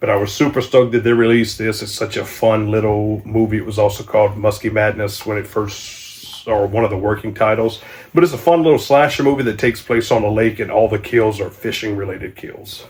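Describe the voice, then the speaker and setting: A man's fairly low voice moves at a fairly quick pace while noticeable background noise plays behind it. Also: fairly even intonation. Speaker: channel host, horror movie collector. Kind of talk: casual video review of movie collection. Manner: casual, hesitant with fillers.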